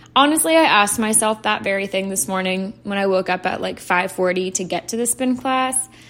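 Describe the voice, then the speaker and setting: A woman at a fairly quick pace with lively intonation and hardly any pauses, over noticeable background noise. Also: medium pitch for a woman. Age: 20s. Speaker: podcast host. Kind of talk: casual solo monologue.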